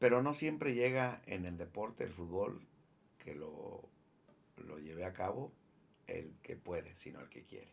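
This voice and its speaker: A man with a medium pitch, very wide pitch swings and a fairly slow pace. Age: 60s. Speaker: former professional footballer. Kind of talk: interview. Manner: halting.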